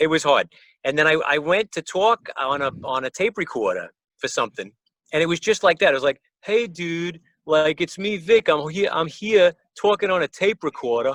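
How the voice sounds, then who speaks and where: This man's voice is high-pitched, with ordinary pitch variation at a moderate pace. The sound is dry and close, with no echo. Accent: New York. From New York, the Bronx. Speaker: musician. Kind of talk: casual chat. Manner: animated.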